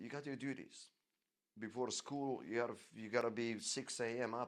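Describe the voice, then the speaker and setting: Speaking with fairly even intonation at a moderate pace, a man's voice sits at a medium pitch. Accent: Croatian. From Croatia, village near Dubrovnik. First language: Croatian. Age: 50s. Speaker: podcast storyteller. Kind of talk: personal life story monologue. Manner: halting, many repetitions.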